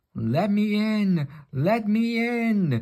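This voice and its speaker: Man in a put-on character voice, pitched high. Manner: spooky.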